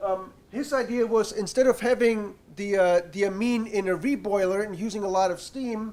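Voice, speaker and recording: Over noticeable background noise, a man speaks loudly with a high pitch and ordinary pitch variation. His pace is moderate, with hardly any pauses. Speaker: university researcher. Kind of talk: seminar presentation.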